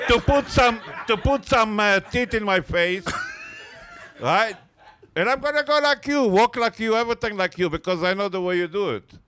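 With an Israeli accent, a man speaks at a moderate pace and a high pitch, using ordinary pitch variation. His long, frequent pauses come against noticeable background noise. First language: Hebrew. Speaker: comedian. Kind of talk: casual banter. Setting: stage with audience. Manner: animated.

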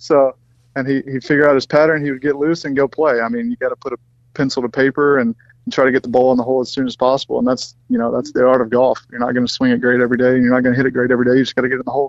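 A man speaks very fast with a Southern US accent. His medium-pitched voice has monotone, flat intonation. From US South, Mississippi. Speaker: professional golfer. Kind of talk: casual chat.

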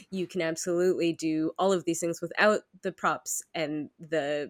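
A woman with an unremarkable speaking voice talks at a fairly slow pace and a fairly low pitch. Her intonation stays fairly even, and the sound is dry and close with no echo. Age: 30s. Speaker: podcast host. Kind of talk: casual chat.

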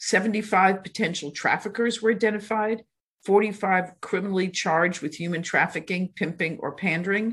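A woman with a plain, everyday voice talks fairly quickly at a medium pitch with fairly even intonation against a quiet background. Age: 60s. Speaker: district attorney. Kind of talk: casual interview.

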